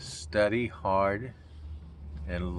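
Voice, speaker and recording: With an American accent, a man speaks at a fairly low pitch, his voice making very wide pitch swings amid audible room echo. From US Pacific Northwest, Seattle area. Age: 70s. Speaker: grandfather being interviewed. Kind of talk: casual family interview.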